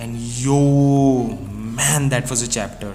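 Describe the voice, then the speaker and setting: A man at a medium pitch with fairly even intonation, music playing in the background. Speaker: anime manga reviewer. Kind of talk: casual talk to camera. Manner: droopy, flat.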